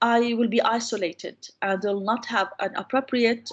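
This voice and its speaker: Here a woman talks with an Arabic accent. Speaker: university lecturer on English teaching. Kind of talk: online lecture.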